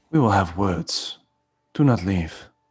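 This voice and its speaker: A man puts on a character voice, husky and fairly low. His pitch sits fairly low throughout. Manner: stern, threatening.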